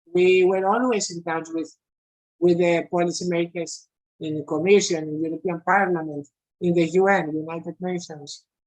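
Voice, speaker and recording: Speaking with a non-native accent, a woman keeps a moderate pace and fairly even intonation. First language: not English. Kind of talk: online meeting discussion.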